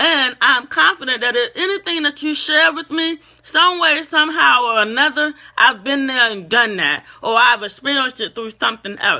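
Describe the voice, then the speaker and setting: This woman speaks loudly in a high voice at a moderate pace. Her intonation is lively. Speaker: motivational speaker. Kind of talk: motivational talk. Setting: facebook live stream.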